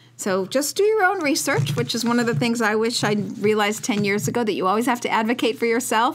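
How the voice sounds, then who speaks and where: With an American accent, the speaker rushes at a very fast pace with hardly any pauses, very wide pitch swings and very even loudness over noticeable background noise. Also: woman, fairly high pitch for a woman. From Chicago, US Midwest. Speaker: podcast host. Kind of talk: casual interview. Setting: radio studio. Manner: animated. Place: studio. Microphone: studio mic.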